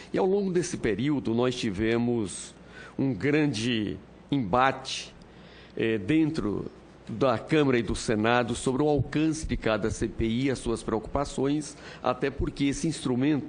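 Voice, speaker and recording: A man with an ordinary speaking voice talks at a fairly slow pace, his medium pitch showing ordinary variation and his loudness very even. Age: 60s. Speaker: senator. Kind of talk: parliamentary speech. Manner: formal.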